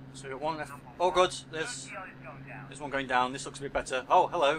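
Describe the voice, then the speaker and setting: A man talks at a fairly quick pace with long, frequent pauses and fairly even intonation, his pitch fairly high. Noticeable background noise is present. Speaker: gameplay commentator. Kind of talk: casual gameplay commentary. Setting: headset mic, poor sound quality. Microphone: headset.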